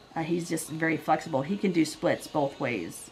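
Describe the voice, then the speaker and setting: A woman speaks in a fairly low pitch, with noticeable background noise behind her. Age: 50s. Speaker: assemblage artist. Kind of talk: casual personal talk.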